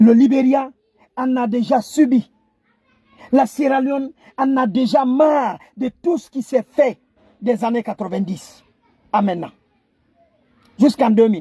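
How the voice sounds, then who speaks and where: A man in a Guinean accent speaks with an extremely high pitch and a dark, mellow tone, at a fairly slow pace with ordinary pitch variation and long, frequent pauses. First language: Kissi (speaking French). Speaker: online commentator. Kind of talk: impassioned video address. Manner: halting, repetitive stammering; impassioned.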